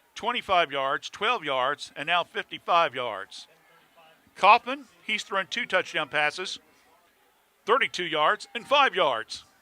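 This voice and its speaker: A loud man with a high pitch and very wide pitch swings speaks at a fairly slow pace, his bright, sharp tone caught in a dry, close sound with no echo, broken by long, frequent pauses. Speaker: play-by-play football announcer. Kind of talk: live commentary. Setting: high school football stadium. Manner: animated.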